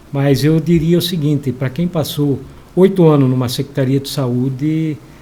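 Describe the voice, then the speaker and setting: A man's somewhat breathy, dark and mellow voice at a fairly high pitch, with fairly even intonation and a moderate pace. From southern Brazil (western Paraná). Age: 60s. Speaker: local politician, mayoral pre-candidate. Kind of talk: interview. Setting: studio.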